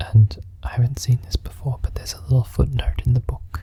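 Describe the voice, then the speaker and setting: The speaker is soft-spoken. The pace is moderate. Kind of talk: audiobook-style storybook reading.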